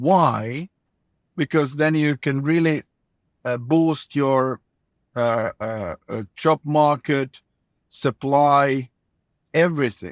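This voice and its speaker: A man with a Finnish accent speaks at a very slow pace, with long, frequent pauses and ordinary pitch variation. The sound is dry and close with no echo, and the recording is very clean with a silent background. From Finland. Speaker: former government minister. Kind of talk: interview. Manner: halting, repeats words.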